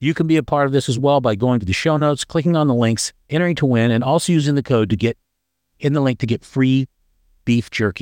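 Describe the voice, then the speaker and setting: The speech comes very fast with ordinary pitch variation. The sound is dry and close with no echo over a quiet background. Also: man. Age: 60s. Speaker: podcast host. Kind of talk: casual interview chat.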